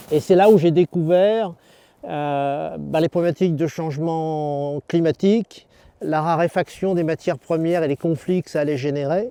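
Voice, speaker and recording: Speaking at a fairly slow pace, a man with a fairly high pitch and a dark, mellow tone comes through in a dry, close sound with no echo. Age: 60s. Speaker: farmer. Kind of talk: farm tour talk. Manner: hesitant, many fillers.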